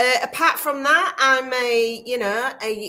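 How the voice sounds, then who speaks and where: Pitched high, a woman's voice is raised and projected. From Yorkshire, England (Scarborough). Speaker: kindness consultant and speaker. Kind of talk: interview. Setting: online livestream.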